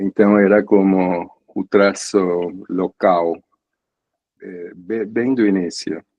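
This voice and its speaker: A man with a slight Argentine accent speaks very slowly in a fairly low voice. Long, frequent pauses break up his speech. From Argentina, San Isidro near Buenos Aires. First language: Spanish (speaking Portuguese). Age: 70s. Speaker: psychoanalyst. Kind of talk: interview conversation. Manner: halting, with hesitations.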